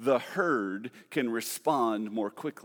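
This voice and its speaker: Animated in tone, a man speaks with ordinary pitch variation. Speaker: preacher. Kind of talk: sermon. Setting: church. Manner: animated, conversational.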